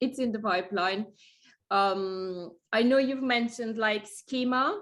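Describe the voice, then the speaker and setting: Over a quiet background, a woman reads at a fairly slow pace and fairly high pitch, with very even loudness and ordinary pitch variation. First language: Italian. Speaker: small business owner, website review guest. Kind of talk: casual chat. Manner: halting.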